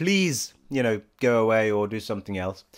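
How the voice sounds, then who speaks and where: A man speaks with an English accent. His intonation is lively. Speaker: gaming vlogger. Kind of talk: casual vlog chat. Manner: halting, many restarts.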